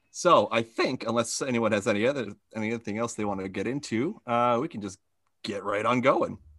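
With ordinary pitch variation and a fairly quick pace, this is an ordinary speaking voice. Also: man, medium pitch for a man. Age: 30s. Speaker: podcast host running a trivia game. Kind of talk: trivia quiz hosting. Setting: video call.

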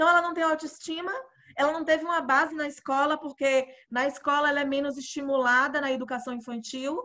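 Raised and projected, a woman's bright, sharp voice moves at a fairly quick pace, high in pitch with fairly even intonation. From Bahia, Brazil (interior, Alagoinhas). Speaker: podcast host. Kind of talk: casual interview.

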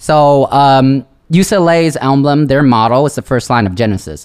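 This man has an ordinary speaking voice. He talks in a fairly high pitch that varies in an ordinary way. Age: 20s. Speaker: podcast guest. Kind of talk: casual chat.

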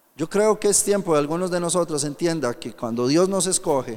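This man's voice sits high in pitch and swings very widely up and down. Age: 30s. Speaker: pastor. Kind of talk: sermon. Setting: youth camp with audience.

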